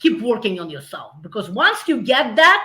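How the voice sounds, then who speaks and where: A woman speaks with a Russian accent at a fairly high pitch. Her tone is bright and sharp, at a moderate pace. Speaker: business founder. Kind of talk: interview. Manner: halting.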